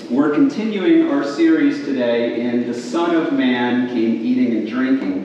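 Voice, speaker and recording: The fairly slow speech carries strong room echo and light background noise. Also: man. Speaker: preacher. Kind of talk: sermon. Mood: warm, light-hearted opening. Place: hall. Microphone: camera far.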